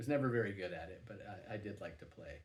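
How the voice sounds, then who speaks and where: A man's fairly low, somewhat breathy voice at a fairly quick pace, with audible room echo. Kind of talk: personal vlog monologue. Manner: halting, many fillers and repeats.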